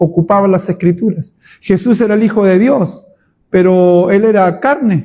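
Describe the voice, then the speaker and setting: The voice has a dark, mellow tone with ordinary pitch variation. It moves at a fairly slow pace. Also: man. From Chile. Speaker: pastor. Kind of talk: Bible study teaching. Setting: church.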